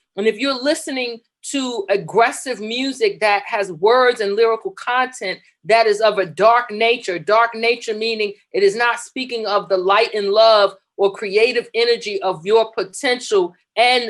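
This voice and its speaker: A woman with an American accent and an unremarkable speaking voice, fairly high in pitch, with ordinary pitch variation and a fairly slow pace. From New York, the Bronx. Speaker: talk show co-host. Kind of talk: inspirational talk show discussion.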